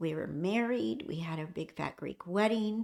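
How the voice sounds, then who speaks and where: A woman's fairly low-pitched voice at a fairly slow pace, with lively intonation, on a very clean recording with a silent background. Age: 60s. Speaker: hospice nurse and lifestyle vlogger. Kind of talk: casual personal vlog talk.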